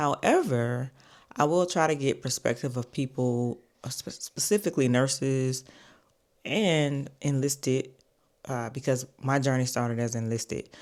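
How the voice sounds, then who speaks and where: Fairly slow delivery over a very clean recording with a silent background. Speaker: military nurse and vlogger. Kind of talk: casual vlog talk to camera. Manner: halting, fumbles over words.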